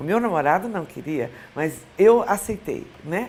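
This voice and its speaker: A woman with a medium-pitched voice talks with lively intonation. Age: 60s. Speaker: former TV presenter and journalist. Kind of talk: interview.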